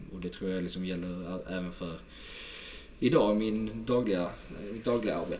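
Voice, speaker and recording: Recorded with audible room echo, the speaker talks in a Scanian accent at a fairly quick pace with fairly even intonation. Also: man. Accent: southern Swedish (Skåne). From southern Sweden, Helsingborg (Skåne). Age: 20s. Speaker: sales manager. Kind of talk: podcast interview.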